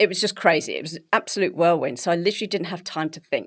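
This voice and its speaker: On a very clean recording with a silent background, a woman with an English accent speaks very fast in a fairly low pitch with fairly even intonation. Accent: English, BBC-style. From England. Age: 50s. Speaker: health coach and bodybuilder. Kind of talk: podcast interview.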